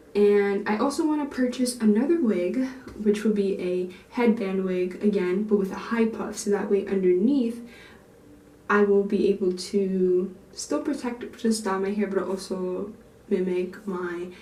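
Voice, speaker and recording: A woman's medium-pitched voice, with audible echo in the room. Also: ordinary pitch variation. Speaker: natural hair YouTuber. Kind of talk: vlog tutorial. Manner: fast; casual, chatty.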